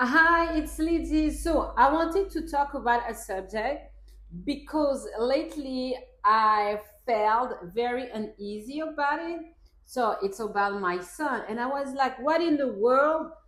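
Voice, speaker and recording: A woman's high voice with lively intonation at a fairly slow pace, with audible room echo. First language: not English. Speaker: parenting vlogger; mother. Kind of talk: casual talk to camera, partly reading from a script. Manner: reads from a script.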